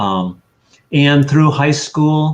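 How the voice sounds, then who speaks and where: Speaking at a very slow pace, a man with an American accent shows ordinary pitch variation. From USA. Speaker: sculptor. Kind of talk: interview.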